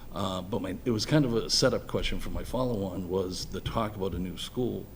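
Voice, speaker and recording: A man with an American accent talks at a very fast pace in a fairly low pitch, with ordinary pitch variation. Audible room echo surrounds his voice. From Boston, Massachusetts (Dorchester). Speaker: electrical engineer, school building committee chair. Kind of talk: public meeting self-introduction. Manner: halting.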